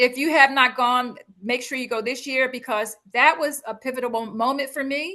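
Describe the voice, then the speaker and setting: A woman's raised, projected voice, high-pitched, animated and bright and sharp in tone, at a moderate pace. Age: 60s. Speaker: speaker and business coach. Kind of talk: interview conversation.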